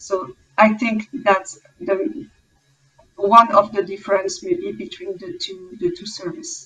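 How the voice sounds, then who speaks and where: A French Canadian accent at a very slow pace, with very wide pitch swings, big swings in loudness and a bright, sharp tone. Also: woman, fairly high pitch for a woman. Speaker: clinical research project manager. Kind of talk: panel discussion. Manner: halting.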